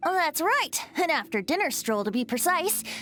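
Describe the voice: Putting on a character voice, a woman speaks high in pitch with big pitch swings and a bright, sharp tone at a moderate pace.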